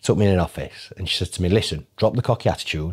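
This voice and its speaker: Over a quiet background, a man with a Yorkshire accent talks very fast in a very deep, low voice with ordinary pitch variation. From northern England. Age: 30s. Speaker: financial advisor. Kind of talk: casual chat. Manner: animated. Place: meeting room. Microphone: lapel.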